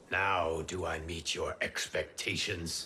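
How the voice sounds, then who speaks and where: A raspy, put-on character voice at a fairly slow pace over clear background noise. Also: man. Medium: video game. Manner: formal, measured.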